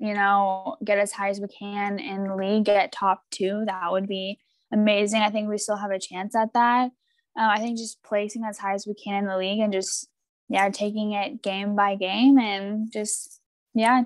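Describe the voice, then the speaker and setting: Speaking with a West Coast accent, a woman keeps a moderate pace and fairly even intonation. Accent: American West Coast. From US, Oregon. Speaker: professional footballer. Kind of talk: casual interview.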